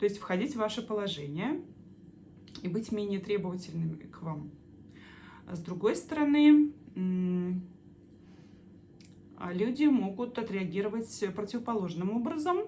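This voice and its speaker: A woman talks at a fairly slow pace with medium pitch, lively intonation and long, frequent pauses. Her loudness swings widely, while noticeable background noise and audible room echo fill the recording. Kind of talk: explainer monologue answering viewer questions. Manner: halting with many filler sounds.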